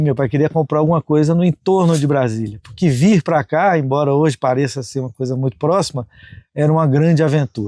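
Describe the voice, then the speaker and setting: A man with a dark, mellow tone and a fairly high pitch speaks fairly quickly with ordinary pitch variation, recorded dry and close with no echo. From Brazil, northeastern Goiás. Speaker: farm owner, conservationist. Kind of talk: interview testimony.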